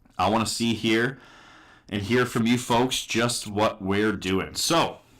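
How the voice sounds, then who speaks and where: A man talks at a very slow pace in a medium pitch, with fairly even intonation and very even loudness, on a very clean recording with a silent background. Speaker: sports watch party streamer. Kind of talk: live stream reaction chat.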